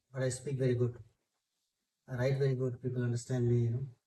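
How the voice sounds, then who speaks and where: The man's voice sits at medium pitch with a dark, mellow tone. It is somewhat breathy. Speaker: city councillor. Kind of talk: interview.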